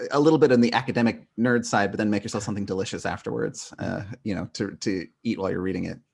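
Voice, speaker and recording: At a very fast pace, a man with a West Coast accent speaks in a fairly low pitch with ordinary pitch variation. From northern California. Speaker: philosophy professor. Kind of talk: podcast interview. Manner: many fillers, um and uh.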